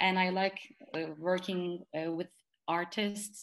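A woman speaks in a Turkish accent at medium pitch. Her pace is fairly slow. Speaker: poet and graduate student. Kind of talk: interview. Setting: video call.

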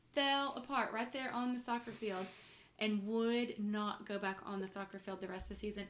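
A woman speaks at a moderate pace with fairly even intonation. Noticeable background noise runs underneath. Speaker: podcast host and mother. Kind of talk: casual family chat interview. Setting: shared microphones, home recording.

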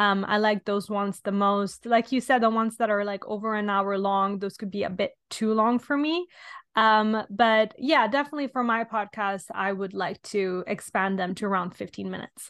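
Speaking in an Italian accent, a woman keeps a moderate pace with hardly any pauses, her medium pitch showing ordinary variation. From Italy. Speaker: podcast host. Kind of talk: casual chat.

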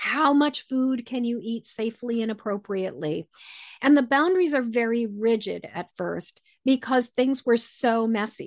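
A woman with a normal speaking voice talks at a moderate pace, fairly high-pitched with lively intonation, in a dry, close sound with no echo. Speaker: empath author and intuitive coach. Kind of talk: interview conversation.

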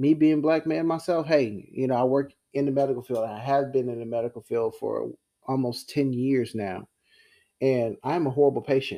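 With an American accent, a man speaks at a medium pitch in a dark, mellow tone. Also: ordinary pitch variation, moderate pace. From US, military family. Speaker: podcast host, EMT and Air Force veteran. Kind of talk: casual monologue. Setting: recorded also for Clubhouse. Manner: animated.

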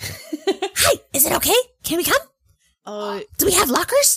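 Someone does a put-on character voice at an extremely high pitch, with very wide pitch swings. The delivery moves at a fairly slow pace. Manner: eager, asking.

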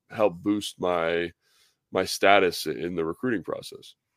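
A man's voice in an American accent, fairly even intonation, dry and close with no echo. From Southern California (San Fernando Valley). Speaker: former NFL tight end, radio analyst. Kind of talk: casual interview.

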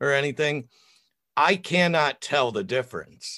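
At a moderate pace, a man with a fairly high pitch speaks in a dry, close sound with no echo over a quiet background. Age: 50s. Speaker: author and podcaster. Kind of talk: casual chat. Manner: loud.

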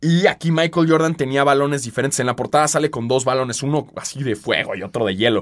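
Very fast and with lively intonation, a man speaks in a Mexican accent at a fairly high pitch. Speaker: podcast host. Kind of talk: casual chat.

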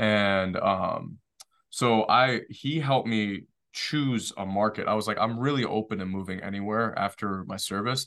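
With a plain, everyday voice, a man speaks in an American accent at fairly low pitch and a fairly slow pace. His pitch variation is ordinary, over a quiet background. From Detroit, Michigan. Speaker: short-term rental developer and Marine veteran. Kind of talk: casual interview.

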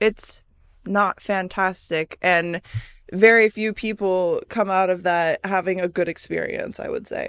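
In a Midwestern American accent, a woman speaks at a very slow pace. The sound is dry and close with no echo, on a very clean recording with a silent background. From US Midwest. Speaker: podcast host. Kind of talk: solo casual monologue. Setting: solo recording on camera. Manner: stumbling over words.

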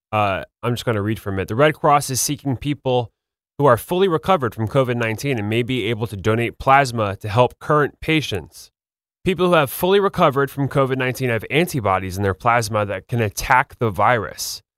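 With a plain, everyday voice at a medium pitch, a man talks at a fairly quick pace and with lively intonation in a dry, close sound with no echo. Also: very clean recording, silent background. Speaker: podcast host. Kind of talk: scripted narration.

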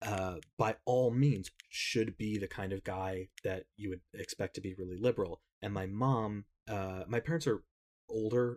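This man has a normal speaking voice, fairly low in pitch, with an American accent and ordinary pitch variation. The sound is dry and close, with no echo. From US Northeast (Connecticut). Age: 30s. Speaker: social media creator. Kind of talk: casual chat.

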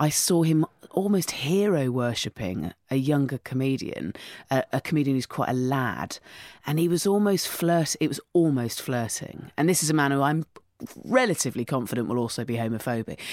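A woman with an English accent talks at a moderate pace, her very deep, low pitch carrying lively intonation. The recording is very clean, with a silent background. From England, countryside. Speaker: comedian and podcast host. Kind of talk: casual interview chat. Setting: studio. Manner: animated storytelling.

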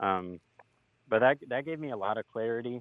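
This is a man speaking. His pitch is medium. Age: 20s. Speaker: caller. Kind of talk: personal call-in conversation. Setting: call-in via website. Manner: halting, many fillers.

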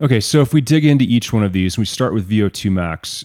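With a dry, close sound, no echo and a silent background, a man's dark, mellow voice moves with lively intonation in a very clean recording. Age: 50s. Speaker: podcast host and company co-founder. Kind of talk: interview.

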